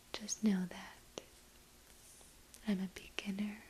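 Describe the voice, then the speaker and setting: A woman is whispering. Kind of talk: ASMR crochet video, casual talk to camera.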